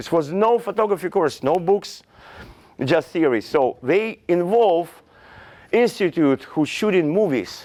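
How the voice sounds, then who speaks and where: With a Russian accent, a man speaks fairly slowly in a high pitch, his intonation lively. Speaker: fashion photographer. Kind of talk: lecture. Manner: halting.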